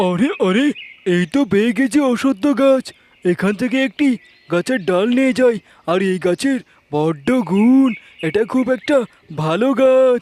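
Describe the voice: In a cartoonish character voice, a man speaks at an extremely high pitch and a fairly slow pace. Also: lively intonation.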